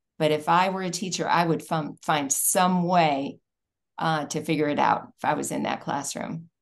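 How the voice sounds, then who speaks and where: With vocal fry and a very deep, low pitch, a woman talks at a moderate pace in fairly even intonation against a quiet background. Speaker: policy advocate. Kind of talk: interview conversation.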